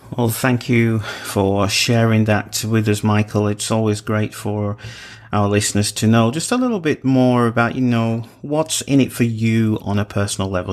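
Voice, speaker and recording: The speaker is a man at a medium pitch. His pace is moderate. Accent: English. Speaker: radio talk show host. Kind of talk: radio interview.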